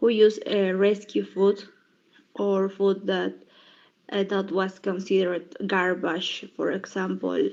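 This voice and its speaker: A woman speaks at a medium pitch with monotone, flat intonation. Her pace is fairly slow. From Bolivia. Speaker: English language student. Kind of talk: class presentation. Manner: halting, many fillers.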